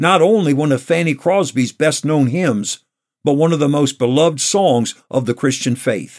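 A man with an American accent speaks in a plain, everyday voice with lively intonation. The recording is very clean, with a silent background. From New York state. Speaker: pastor. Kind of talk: radio devotional.

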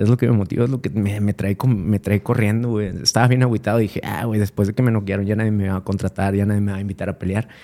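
In a very clean recording with a silent background, a dark, mellow voice races along at a very fast pace with fairly even intonation and hardly any pauses. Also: man, fairly low pitch for a man. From Mexico, Monterrey. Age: 40s. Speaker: MMA fighter. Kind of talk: casual chat.

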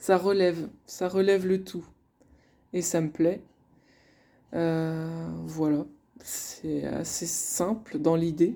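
Speaking at a very slow pace with long, frequent pauses, a woman uses fairly even intonation. Her tone is dark and mellow, and her pitch is fairly low. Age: 30s. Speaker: couples coach and podcast host. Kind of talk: solo podcast monologue. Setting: alone at her desk. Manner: hesitant, many fillers.

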